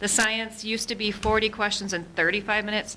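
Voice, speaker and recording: A woman talks at a fairly quick pace through noticeable background noise. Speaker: school administrator. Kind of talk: report to school board. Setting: school board meeting. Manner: fast.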